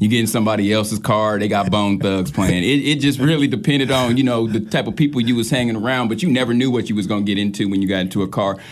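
Very fast and fairly low in pitch, a man with an American accent talks over noticeable background noise. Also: ordinary pitch variation. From St. Louis, Missouri; later Wichita, Kansas. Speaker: DJ, rapper and producer. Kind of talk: casual interview.

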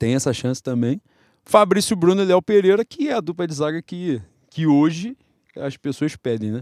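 A man talks in a normal speaking voice at a fairly quick pace with lively intonation, recorded very clean and silent in the background with a dry, close sound and no echo. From Rio de Janeiro, Brazil. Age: 30s. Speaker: football podcast co-host. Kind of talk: casual chat.

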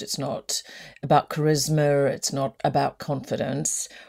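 A woman with an Australian accent has a very deep, low pitch and a dark, mellow tone. She speaks at a moderate pace on a very clean recording with a silent background. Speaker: podcast host. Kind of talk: interview conversation.

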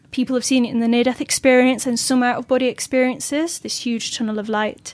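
Speaking quickly enough, a woman with a Yorkshire accent keeps a high pitch and fairly even intonation. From Yorkshire, northern England. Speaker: astral projection teacher. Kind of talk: interview.

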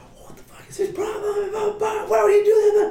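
An extremely high-pitched put-on character voice with a slight echo. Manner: angry, cursing.

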